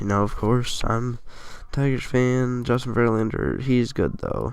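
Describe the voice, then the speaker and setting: Audible room echo surrounds this man's voice. He speaks at a medium pitch with ordinary pitch variation. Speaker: sports gaming youtuber. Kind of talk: casual monologue of sports predictions.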